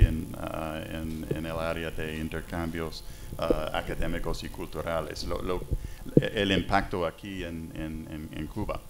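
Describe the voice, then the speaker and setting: Over music in the background, a speaker with a non-native accent talks at a very slow pace with fairly even intonation. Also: man. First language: English (speaking Spanish). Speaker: diplomat. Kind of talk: panel discussion. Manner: halting, many fillers.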